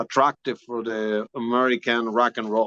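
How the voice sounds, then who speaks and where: A man with a strong Spanish accent talks at a moderate pace, and the sound is dry and close with no echo. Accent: thick Spanish. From Spain. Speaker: rock singer-guitarist. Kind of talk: interview.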